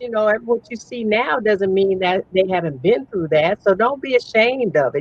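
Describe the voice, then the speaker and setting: In a Southern US accent, a woman talks at a moderate pace. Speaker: entrepreneur, speaker and author. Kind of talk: interview.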